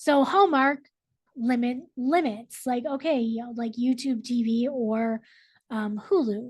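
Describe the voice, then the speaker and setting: Ordinary pitch variation marks speech delivered at a fairly slow pace. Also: woman, high pitch for a woman. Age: 30s. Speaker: librarian teaching a technology class. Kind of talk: online class presentation. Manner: casual with many fillers.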